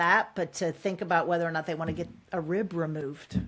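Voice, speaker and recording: This woman has a plain, everyday voice at a fairly low pitch. She speaks at a moderate pace with fairly even intonation. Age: 60s. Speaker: author and executive coach. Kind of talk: podcast interview.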